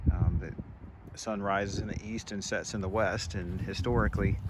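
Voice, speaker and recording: A man's fairly low voice in a Southern US accent, with ordinary pitch variation. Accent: Southern US (Georgia). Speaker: vlogger. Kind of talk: walking tour commentary. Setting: outdoors. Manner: many fillers (um, uh).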